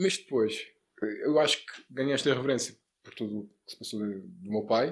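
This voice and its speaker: Speaking in a plain, everyday voice, a man talks at a medium pitch and a fairly quick pace. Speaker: entrepreneur, sports bettor, real estate investor. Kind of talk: casual interview. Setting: studio.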